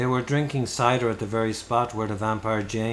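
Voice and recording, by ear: A natural voice reading aloud, with fairly even intonation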